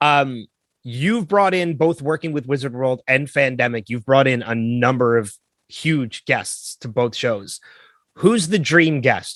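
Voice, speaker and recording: Against a quiet background, a man with an unremarkable speaking voice talks at a medium pitch and moderate pace with lively intonation. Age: 40s. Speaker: podcast host. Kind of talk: podcast interview.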